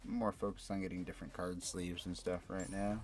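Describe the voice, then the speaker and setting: Quiet and relaxed in tone, a man talks at a fairly quick pace. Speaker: gaming streamer. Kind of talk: casual chat. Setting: live stream. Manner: quiet talker.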